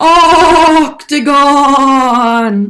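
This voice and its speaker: A high-pitched, put-on character voice carries the clip. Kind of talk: playful, teaching young children. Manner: spooky, drawn-out.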